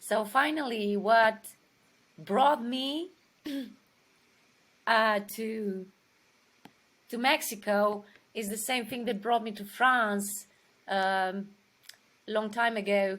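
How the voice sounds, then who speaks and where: Very slowly, a woman talks with long, frequent pauses. Her voice is fairly high, with ordinary pitch variation. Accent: Romanian. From Romania. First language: Romanian. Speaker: actress. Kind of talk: interview. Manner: halting.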